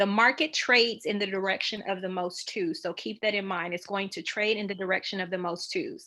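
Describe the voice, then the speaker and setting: A woman's voice sits at a medium pitch with a bright, sharp tone. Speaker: trading educator. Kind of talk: tutorial. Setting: video call with screen share. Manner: fast.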